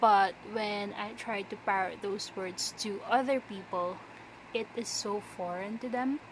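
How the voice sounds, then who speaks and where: A somewhat breathy, medium-pitched woman's voice with a non-native accent. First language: not English. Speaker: vlogger. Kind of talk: casual chat. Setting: bedroom floor.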